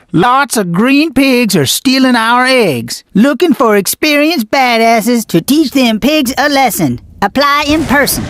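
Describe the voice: A cartoonish character voice, female-sounding and high in pitch, comes at a moderate pace. There are hardly any pauses.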